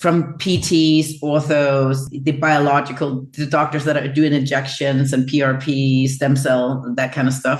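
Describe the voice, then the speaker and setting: A woman speaks with a very deep, low pitch at a fairly slow pace, her intonation monotone and flat and her loudness very even. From Denmark. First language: Danish. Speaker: chiropractor. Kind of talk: interview.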